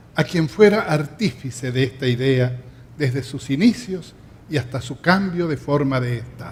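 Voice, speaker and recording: Somewhat breathy, a man speaks at a fairly slow pace with ordinary pitch variation and big swings in loudness. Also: medium pitch for a man. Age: 70s. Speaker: festival emcee. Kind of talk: stage hosting. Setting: theatre stage with audience. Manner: formal.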